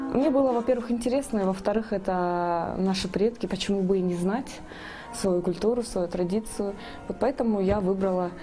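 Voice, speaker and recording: Backed by music in the background, a woman talks at a moderate pace. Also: medium pitch for a woman, ordinary pitch variation. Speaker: singer and music student. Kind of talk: interview. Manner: hesitant, with fillers.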